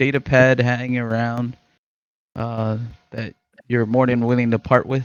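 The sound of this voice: Pitch varies in an ordinary way as the words come at a fairly slow pace. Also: man.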